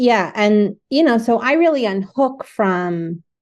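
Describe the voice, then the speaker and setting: In a New Jersey accent, a woman speaks at a very slow pace against a quiet background. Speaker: artist and spiritual director. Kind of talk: casual chat. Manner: animated.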